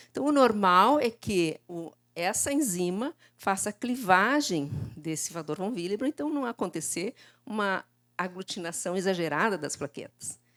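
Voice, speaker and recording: At a moderate pace, a woman with a medium pitch speaks with very wide pitch swings on a very clean recording with a silent background. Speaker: lecturer in laboratory hematology. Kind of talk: conference lecture. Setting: conference stage with audience.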